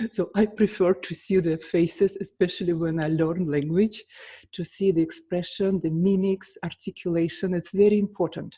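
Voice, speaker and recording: A woman with a Russian accent, somewhat breathy, dark and mellow in tone, at a medium pitch and moderate pace, with fairly even intonation. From Russia, St. Petersburg. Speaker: pianist and vocal coach. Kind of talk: casual vlog talk.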